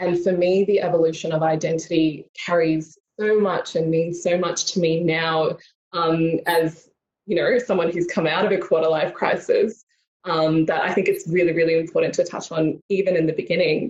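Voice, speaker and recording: Speech comes at a moderate pace with an Australian accent. The intonation stays flat and monotone. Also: woman, fairly low pitch for a woman. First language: Tamil. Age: 20s. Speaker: mental health advocate. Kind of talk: keynote talk. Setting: video call.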